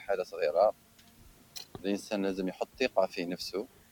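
A man speaks in a plain, everyday voice. His pitch rises and falls in an ordinary way. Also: dry, close sound with no echo. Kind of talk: casual chat.

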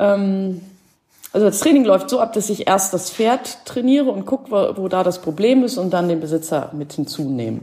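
With very wide pitch swings around a medium pitch, a woman speaks at a moderate pace in a dark, mellow tone. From Schleswig-Holstein, northern Germany. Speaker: horse behaviour therapist. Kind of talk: casual interview. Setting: online call. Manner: hesitant, many fillers.

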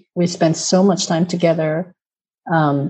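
With a Japanese accent, a woman talks at a fairly slow pace in a somewhat breathy voice with ordinary pitch variation. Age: 40s. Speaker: inclusion consultant. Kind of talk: interview.

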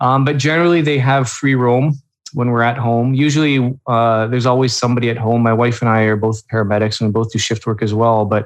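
This man has an unremarkable speaking voice with a Canadian accent. He talks at a fairly quick pace. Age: 40s. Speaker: dog owner and runner. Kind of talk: casual interview chat.

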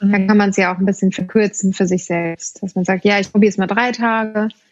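This woman talks at a fairly quick pace with a medium pitch. Her intonation stays monotone and flat. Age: 30s. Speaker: yoga teacher. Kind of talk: casual chat.

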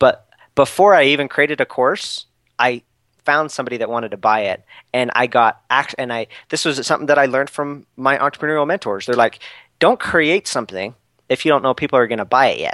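A man talks at a fairly quick pace in a bright, sharp tone, the sound dry and close with no echo. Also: ordinary pitch variation, very clean recording, silent background. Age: 20s. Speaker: social media entrepreneur. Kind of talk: interview. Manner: animated.

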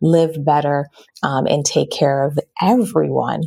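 A woman speaks at a moderate pace. Her tone is enthusiastic. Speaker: podcast host. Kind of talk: interview. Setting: live video stream.

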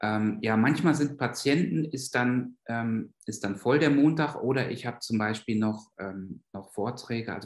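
Here a man talks at a medium pitch and a moderate pace. His pitch varies in an ordinary way. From Germany, Westphalia. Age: 50s. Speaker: psychiatrist and clinic director. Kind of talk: interview. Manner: hesitant, many filler sounds.

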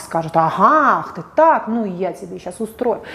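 Against noticeable background noise, the voice moves at a moderate pace with very wide pitch swings. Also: woman. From Russia, St Petersburg. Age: 40s. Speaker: psychologist. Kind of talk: video monologue. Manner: animated.

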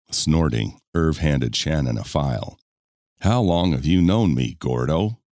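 With a very deep, low pitch and a dark, mellow tone, a man speaks at a moderate pace with lively intonation. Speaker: audiobook narrator. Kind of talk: audiobook narration of romance fiction, with dialogue voiced in character. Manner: smooth, measured storytelling pace; shifts tone between characters.

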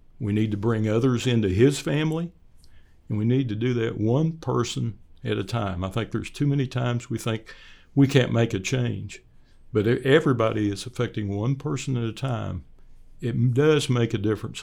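On a very clean recording with a silent background, a man with medium pitch and a dark, mellow tone speaks at a moderate pace with ordinary pitch variation. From Oklahoma, US. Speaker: church elder, retired executive, army veteran. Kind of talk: interview.

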